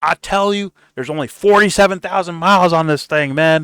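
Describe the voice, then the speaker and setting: A man puts on a character voice, talking fairly quickly at a high pitch. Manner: smooth, persuasive.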